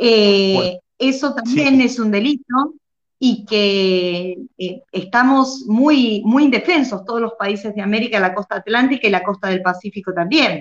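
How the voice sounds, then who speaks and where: A woman with a fairly high voice speaks at a fairly slow pace, her pitch moving in an ordinary way. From Argentina. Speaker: educator and online show host. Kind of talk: interview. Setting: live stream. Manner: halting, with frequent fillers.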